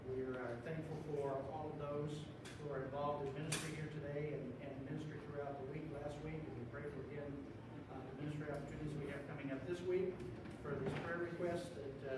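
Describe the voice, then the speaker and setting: A man's very fast speech amid loud background noise and audible room echo. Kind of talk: prayer and announcements. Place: church. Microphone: camera far.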